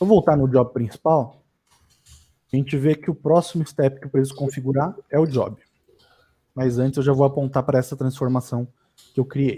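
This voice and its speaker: A man's somewhat breathy, dark, mellow voice at a fairly high pitch, fairly even intonation, a moderate pace, and long, frequent pauses. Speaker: data engineering instructor. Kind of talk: live tutorial. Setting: livestream.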